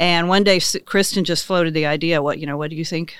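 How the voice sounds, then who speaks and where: With a Midwestern American accent, a woman talks at a very fast pace and a fairly low pitch. The recording is very clean, with a silent background. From western Kansas. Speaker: business owner. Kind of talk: casual interview.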